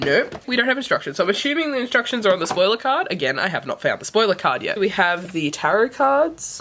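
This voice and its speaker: A woman with an Australian accent talks at a very fast pace with hardly any pauses, her fairly high pitch swinging very widely. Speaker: book vlogger. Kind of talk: casual unboxing vlog.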